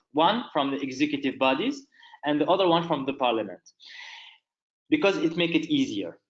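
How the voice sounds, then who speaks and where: Speaking at a fairly quick pace with long, frequent pauses, a man uses lively intonation and a fairly high pitch. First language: not English (third language). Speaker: human rights lawyer. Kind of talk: webinar presentation and Q&A. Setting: online webinar.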